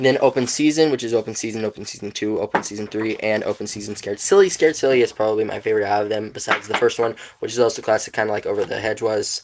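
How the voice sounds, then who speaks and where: A man speaks very fast in a put-on character voice at a medium pitch. The delivery is raspy. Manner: talking very fast.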